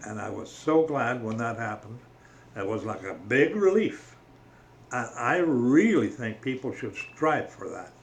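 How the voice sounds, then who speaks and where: A man's medium-pitched voice with a Canadian accent, fairly slow and lively in intonation, over noticeable background noise. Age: 80s+. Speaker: religious vlogger. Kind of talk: casual monologue on faith. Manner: halting.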